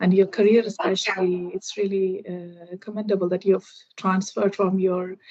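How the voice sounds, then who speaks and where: A woman with a Keralan accent, medium in pitch, at a moderate pace. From India, Kerala. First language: Malayalam. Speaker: IT professional, English learner. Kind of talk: casual conversation practice. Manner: halting, many fillers.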